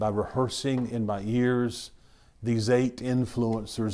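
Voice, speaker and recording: A man's medium-pitched voice, dark and mellow in tone, with monotone, flat intonation, a fairly slow pace and audible room echo. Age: 60s. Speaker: pastor. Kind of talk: sermon. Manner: halting.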